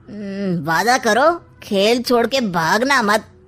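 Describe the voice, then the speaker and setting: A woman puts on a cartoonish character voice with a fairly high pitch. She talks very slowly, her intonation lively. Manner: sly, teasing.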